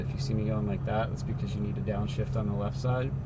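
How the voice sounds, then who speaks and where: A man with fairly low pitch speaks at a very fast pace, his pitch swinging very widely. Room echo is audible, and background noise is noticeable. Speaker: racing driving instructor. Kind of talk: instructional briefing.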